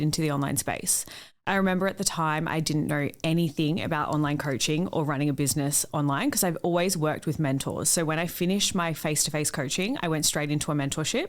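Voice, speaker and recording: A woman with an Australian accent and a very deep, low pitch talks at a very fast pace with fairly even intonation. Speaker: business mentor and online coach. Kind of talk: interview. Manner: loud.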